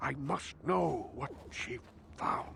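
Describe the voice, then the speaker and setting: A man puts on a raspy character voice over clear background noise. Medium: video game. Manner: solemn, cryptic.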